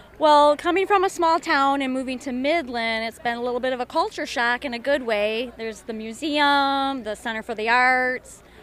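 A woman with an American accent speaks at a moderate pace and a high pitch, with ordinary pitch variation and hardly any pauses. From US Midwest, Michigan. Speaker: healing practitioner at community events. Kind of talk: street interview. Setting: outdoors at a festival.

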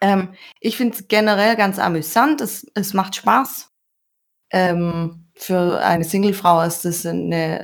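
A very slow pace with ordinary pitch variation on a very clean recording with a silent background. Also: woman. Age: 30s. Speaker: online dating user. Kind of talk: casual chat.

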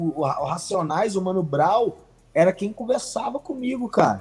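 The man speaks at a fairly slow pace. His intonation is lively. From Santa Luzia, Minas Gerais, Brazil. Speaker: rapper. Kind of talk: casual interview chat. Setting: live stream. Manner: halting, many repetitions.

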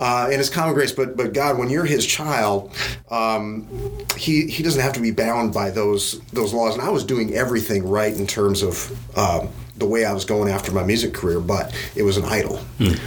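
Over noticeable background noise and audible room echo, a man talks at a moderate pace, his medium pitch showing ordinary variation. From US Midwest, Wisconsin. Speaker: business executive. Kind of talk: interview. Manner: hesitant, many fillers.

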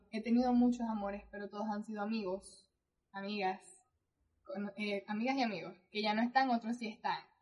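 This woman's fairly high voice is somewhat breathy and monotone, moving at a fairly quick pace but broken by long, frequent pauses. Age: 20s. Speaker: podcast co-host. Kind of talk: casual chat.

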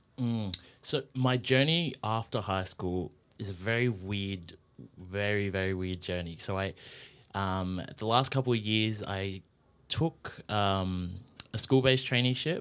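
In a very clean recording with a silent background, a man talks at a fairly slow pace with an Australian accent. His pitch is fairly low, with ordinary variation. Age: 20s. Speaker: radio presenter. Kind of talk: casual interview. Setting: studio.

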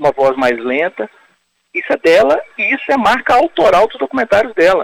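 At a moderate pace, a man speaks with very wide pitch swings in a dry, close sound with no echo. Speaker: film critic and writer. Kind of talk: interview. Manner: calm.

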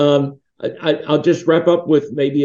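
Speaking very slowly with an American accent, this man has a fairly high pitch and a dark, mellow tone. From Pittsburgh area, Pennsylvania, US. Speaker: religious foundation founder. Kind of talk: interview.

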